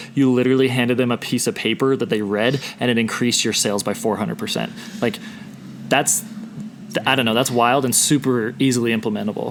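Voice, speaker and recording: A man talks at a very fast pace. Background noise is noticeable throughout. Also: medium pitch for a man, ordinary pitch variation. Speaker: podcast host. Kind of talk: podcast interview. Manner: loud.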